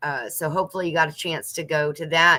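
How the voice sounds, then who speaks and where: A woman with a Southern US accent speaks in a bright, sharp tone at a fairly low pitch, on a very clean recording with a silent background. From US South. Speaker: homesteading channel host. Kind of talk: casual livestream chat reading viewer comments. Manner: chatty, lots of fillers.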